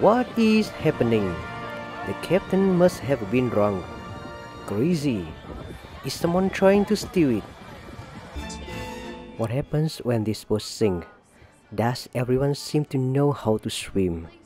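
A man's medium-pitched voice at a very slow pace, with very wide pitch swings, long and frequent pauses, and music in the background. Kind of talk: humorous voice-over commentary on fail compilation.

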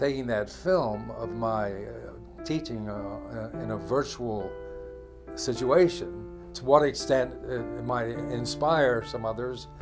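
Very slow speech with big swings in loudness over clear music in the background. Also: man. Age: 80s+. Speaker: professor. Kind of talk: interview. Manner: soft-spoken. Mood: warm, reflective, grateful. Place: office.

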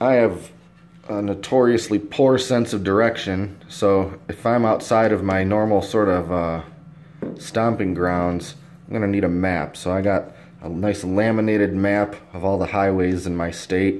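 The man's fairly low voice moves at a fairly slow pace with fairly even intonation. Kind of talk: casual show-and-tell vlog. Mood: relaxed, self-deprecating. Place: home room. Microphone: phone near.

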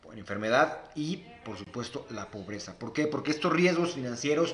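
Ordinary pitch variation marks a man's voice, heard with audible room echo. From Mexico. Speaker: financial advisor; guest. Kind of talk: live stream interview; interview answer. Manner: halting. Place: home room. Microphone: phone near.

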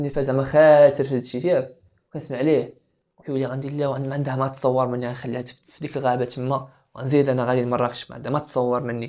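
Against a quiet background, the speaker rushes along at a very fast pace in a flat monotone. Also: man. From Morocco. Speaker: business student; podcast guest. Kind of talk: casual chat. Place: home room. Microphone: lapel.

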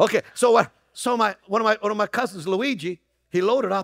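A man's high-pitched, fairly bright voice at a fairly quick pace, with ordinary pitch variation and a dry, close sound with no echo

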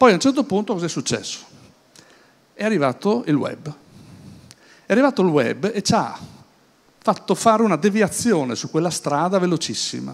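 A man speaks at a moderate pace with a high pitch. His pitch swings very widely, broken by long, frequent pauses. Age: 60s. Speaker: business speaker; speaker. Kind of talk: conference talk. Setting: stage with audience at an event. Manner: hesitant, with many fillers and repetitions. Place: hall. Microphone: handheld.

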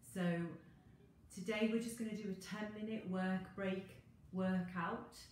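Against light background noise and audible room echo, a woman speaks at a moderate pace. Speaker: fitness instructor. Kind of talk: casual live-stream intro chat. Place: garden. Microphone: phone near.

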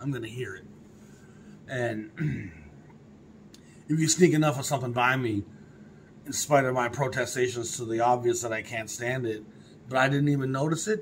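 A somewhat breathy male voice amid light background noise. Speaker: record collector vlogger. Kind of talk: casual vlog chat. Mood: opinionated, mildly scornful. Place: home room.

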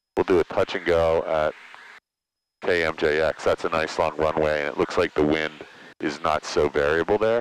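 The speech moves at a moderate pace with fairly even intonation, and the sound is dry with no echo. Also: man. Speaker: flight instructor. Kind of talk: instruction. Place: plane. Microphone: headset.

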